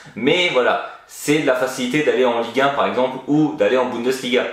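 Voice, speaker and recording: Fairly quick male speech at a medium pitch, its pitch varying in an ordinary way, with audible room echo. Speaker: football YouTuber. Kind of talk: video commentary monologue. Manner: casual.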